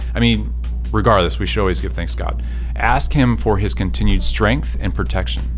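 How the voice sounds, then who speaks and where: A man speaks with a very deep, low pitch at a moderate pace. His intonation is fairly even, and faint music plays in the background. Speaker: speaker. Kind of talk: devotional talk to camera. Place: studio. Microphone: studio mic.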